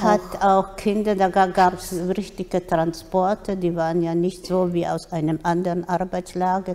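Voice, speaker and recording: In a monotone, flat delivery, a woman speaks at a medium pitch. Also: fairly slow pace. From Poland. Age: 80s+. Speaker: Holocaust survivor. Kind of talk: interview answer. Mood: calm, serious. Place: hall. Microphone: studio mic.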